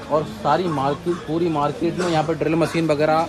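With a fairly quick pace and fairly even intonation, a man speaks in a fairly high pitch over clear background noise.

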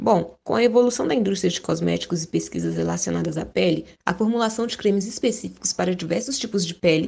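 Vocal fry at a fairly quick pace. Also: woman. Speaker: chemistry student. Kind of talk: scripted presentation.

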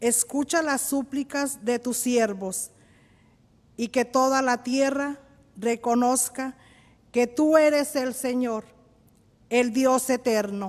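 With a high pitch and fairly even intonation, a woman speaks at a very slow pace, leaving long, frequent pauses. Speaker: lector. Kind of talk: reading aloud. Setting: church. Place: church.

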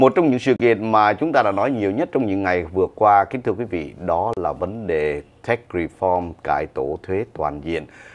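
With an unremarkable speaking voice, the speaker moves at a moderate pace with lively intonation. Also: man, fairly low pitch for a man. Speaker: TV show host. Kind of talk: news commentary. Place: studio. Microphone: lapel.

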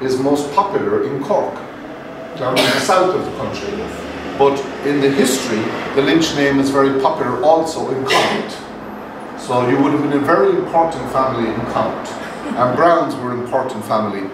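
A man talks at a fairly quick pace with ordinary pitch variation, with noticeable background noise and audible room echo in the recording. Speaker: lecturer. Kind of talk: lecture. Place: meeting room. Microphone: camera far.

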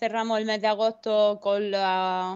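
In an Andalusian accent, a woman speaks at a very slow pace. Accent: Almería Spanish. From Almería, Spain. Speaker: board game shop owner. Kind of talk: casual chat. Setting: video call.

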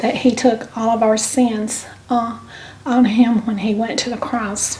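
Speaking in a Southern US accent, a woman delivers her words at a fairly slow pace in a fairly high voice with monotone, flat intonation. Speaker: YouTube channel co-host. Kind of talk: devotional reading. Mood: calm, gentle, hesitant. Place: kitchen. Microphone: camera far.

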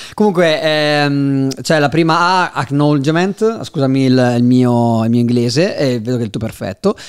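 Against a quiet background, a man speaks at a moderate pace with hardly any pauses. His intonation is lively. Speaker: podcast host. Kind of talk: podcast interview. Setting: studio in Milan. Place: studio. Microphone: studio mic.

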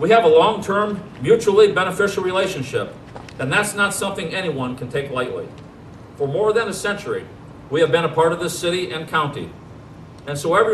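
A man speaks at a fairly quick pace, with light background noise and audible room echo in the recording. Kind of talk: formal ceremonial speech. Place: street.

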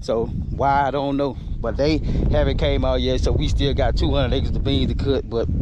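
The sound is dry, with no echo and loud background noise. The pace is moderate. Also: man. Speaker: farmer vlogger. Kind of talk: casual vlog chat. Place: farm machine. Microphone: phone near.

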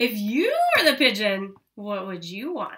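A woman speaks at a fairly high pitch in a bright, sharp tone with big pitch swings.

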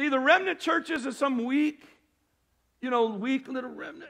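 Raised and projected, a man's voice rings at an extremely high pitch, animated in tone and bright and sharp. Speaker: preacher. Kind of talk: sermon to a congregation, scripture reading with call-and-response. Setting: church with congregation. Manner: animated, fervent, exhorting; pauses for audience amens, repeats phrases for emphasis. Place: church.

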